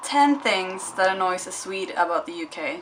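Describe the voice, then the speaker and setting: The woman talks at a moderate pace. Noticeable background noise is present throughout. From Sweden. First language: Swedish. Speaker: YouTuber. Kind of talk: casual vlog. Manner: animated.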